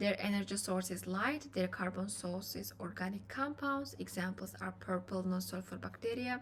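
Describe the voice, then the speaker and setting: At a fairly slow pace, a woman speaks with a non-native accent. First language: not English. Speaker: biochemistry student, educational youtuber. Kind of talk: lecture. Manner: halting.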